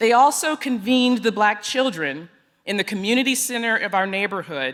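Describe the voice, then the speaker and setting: With a Texas accent, a woman speaks at a moderate pace using lively intonation. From East Texas. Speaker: education executive. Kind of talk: conference speech. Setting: stage with audience. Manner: formal.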